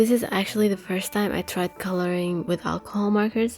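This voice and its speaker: This woman talks at a moderate pace in a non-native accent, her medium pitch carrying a dark, mellow tone. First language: not English. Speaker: artist. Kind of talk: casual narration.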